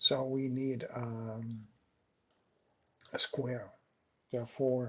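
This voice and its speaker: A man with a Dutch accent, a medium pitch and a bright, sharp tone, flat and monotone at a very slow pace. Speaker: software tutorial maker. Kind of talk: tutorial. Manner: halting, many fillers.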